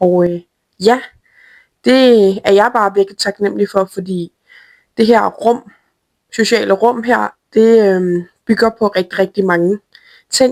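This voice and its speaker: Very slowly and with long, frequent pauses, a woman speaks at a medium pitch with fairly even intonation in a dry, close sound with no echo, on a very clean recording with a silent background. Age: 20s. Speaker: media lead of an online community. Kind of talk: self-introduction to camera.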